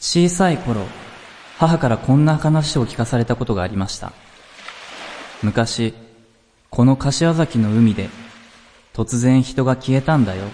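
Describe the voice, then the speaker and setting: Lively intonation comes at a fairly slow pace with long, frequent pauses, set against noticeable background noise. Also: man, medium pitch for a man. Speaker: podcast host. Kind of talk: scripted narration; casual chat.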